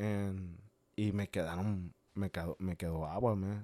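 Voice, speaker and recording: Dry and close with no echo, this very clean recording with a silent background captures a man with a Spanish accent speaking at a fairly slow pace, with a fairly low pitch and fairly even intonation. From Mexico. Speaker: small business owner selling aguas frescas. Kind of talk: casual interview. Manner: halting, repeats words often.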